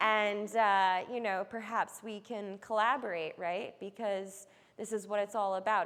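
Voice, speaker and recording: On a very clean recording with a silent background, a woman with a plain, everyday voice and an American accent speaks at a fairly slow pace, with a medium pitch and fairly even intonation. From New York. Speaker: environmental artist. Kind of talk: artist talk to audience. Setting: room with live audience.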